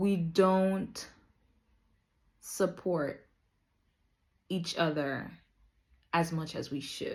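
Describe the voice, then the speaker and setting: Speaking at a very slow pace with long, frequent pauses, a woman with an American accent keeps a fairly low pitch and fairly even intonation. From Dominica. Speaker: vlogger. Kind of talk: casual monologue. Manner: hesitant, many fillers.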